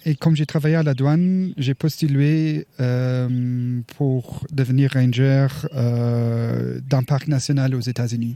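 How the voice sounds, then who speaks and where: Very even in loudness, a man speaks at a very slow pace and medium pitch with fairly even intonation. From Luxembourg. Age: 40s. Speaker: park ranger. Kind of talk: interview. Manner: halting.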